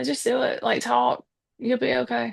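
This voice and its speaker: A woman with an American accent has a bright, sharp tone and some vocal fry. Her pitch swings very widely against a quiet background. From US South. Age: 50s. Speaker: podcaster. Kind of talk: casual chat.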